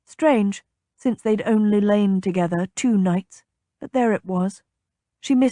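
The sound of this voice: In an unforced reading voice with ordinary pitch variation, the speaker reads over a quiet background.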